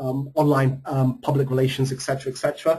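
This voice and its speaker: A somewhat breathy man with an American accent, fairly high in pitch, fairly quick, with flat, monotone intonation. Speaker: marketing strategist and author. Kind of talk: webinar presentation. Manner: hesitant, frequent filler ums.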